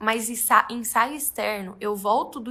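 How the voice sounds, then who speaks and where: A woman speaks at a fairly high pitch with fairly even intonation. Her tone is bright and sharp. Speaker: photographer. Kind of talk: tutorial. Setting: studio.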